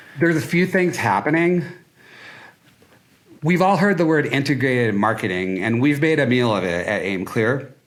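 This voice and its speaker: A man with an American accent speaks at a moderate pace in a fairly high voice, with very wide pitch swings and vocal fry. He leaves long, frequent pauses, and audible room echo is present. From Minnesota (Duluth). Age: 60s. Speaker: marketing agency founder. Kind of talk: podcast interview. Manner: animated.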